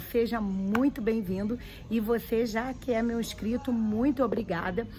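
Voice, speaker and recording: A woman's plain, everyday voice at a fairly slow pace, with ordinary pitch variation. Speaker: YouTuber giving immigration advice. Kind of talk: vlog tutorial.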